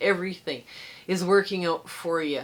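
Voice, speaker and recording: A woman talks at a moderate pace and medium pitch in a plain, everyday voice. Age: 60s. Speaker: quilting tutorial host. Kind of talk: casual chat; tutorial. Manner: casual, chatty.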